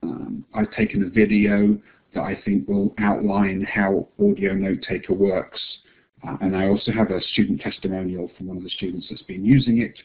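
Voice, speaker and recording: A man's fairly low voice in an English accent, with monotone, flat intonation. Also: moderate pace. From England. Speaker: assistive technology distributor presenting software. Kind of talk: webinar presentation.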